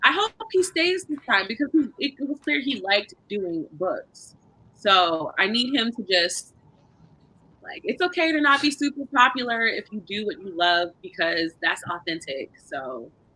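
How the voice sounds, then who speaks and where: A loud woman with a fairly high pitch speaks at a fairly slow pace, her pitch swinging very widely. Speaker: book club co-host. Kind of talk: casual chat.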